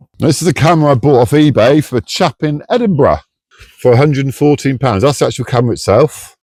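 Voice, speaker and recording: A man with a medium-pitched voice and vocal fry talks at a fairly quick pace on a very clean recording with a silent background. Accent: British. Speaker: DIY car repair vlogger. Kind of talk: casual DIY tutorial. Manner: loud.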